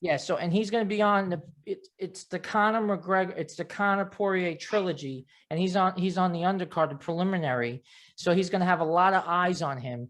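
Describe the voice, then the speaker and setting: A man speaks fairly quickly in a high pitch, with ordinary pitch variation. The background is quiet. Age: 40s. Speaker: podcast host and therapist. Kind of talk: interview. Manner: fast.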